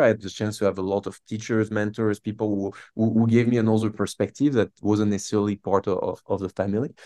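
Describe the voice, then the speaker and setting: In a French accent, a man with fairly low pitch talks at a very fast pace, recorded with a dry, close sound with no echo over a quiet background. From France. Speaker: startup founder and CEO. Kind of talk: interview. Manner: animated; halting.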